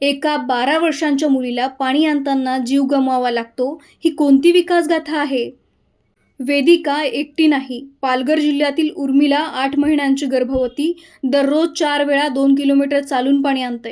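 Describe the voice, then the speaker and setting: Her pitch sits high for a woman. The intonation stays monotone and flat. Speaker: voice artist. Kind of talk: TV news report read.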